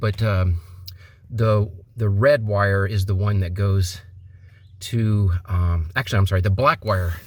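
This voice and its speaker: This man's voice is fairly low in pitch and somewhat breathy, with ordinary pitch variation at a fairly slow pace. The recording is very clean, with a silent background. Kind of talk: product installation tutorial. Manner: mild stutter, frequent pauses and filler words.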